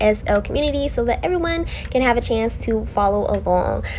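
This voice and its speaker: A woman is speaking. Room echo can be heard. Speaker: beauty vlogger. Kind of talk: makeup tutorial. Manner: fast; animated.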